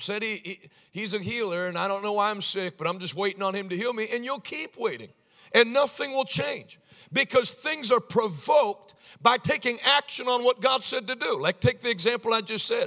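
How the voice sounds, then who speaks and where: A man projects a raised, extremely high-pitched voice with a bright, sharp tone. He sounds animated, with lively intonation and a moderate pace. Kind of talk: sermon, revival-style preaching. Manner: animated, humorous, peppering in sarcasm and anecdotes.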